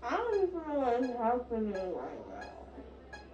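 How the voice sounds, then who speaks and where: Speaking at a fairly slow pace, a woman is heard with audible room echo and light background noise. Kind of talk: drowsy confused talk. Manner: dazed, slurred, confused speech. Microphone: phone near.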